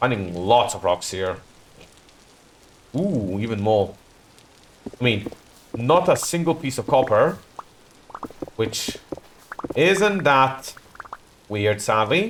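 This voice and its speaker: Amid noticeable background noise, a man speaks at a very slow pace with long, frequent pauses and very wide pitch swings. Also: medium pitch for a man. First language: not English. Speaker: video game streamer. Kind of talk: live gameplay commentary. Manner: casual, self-correcting.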